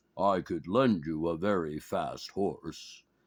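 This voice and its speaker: Against a quiet background, a man puts on a booming, raspy character voice at a very deep, low pitch, speaking at a fairly slow pace with ordinary pitch variation. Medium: read story. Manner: grave, archaic speech.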